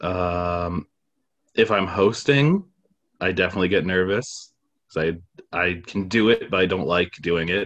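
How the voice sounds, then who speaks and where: Speaking at a fairly slow pace with long, frequent pauses, a man with a very deep, low voice keeps ordinary pitch variation. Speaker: stand-up comedian. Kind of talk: casual chat. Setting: video call. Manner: reserved; low-energy.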